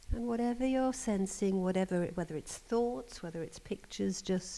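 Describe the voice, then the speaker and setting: A woman with a dark, mellow tone speaks at a fairly slow pace with ordinary pitch variation. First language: English (speaking Slovak). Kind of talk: teaching talk with guided prayer. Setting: seminar with audience. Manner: short phrases with pauses for the interpreter.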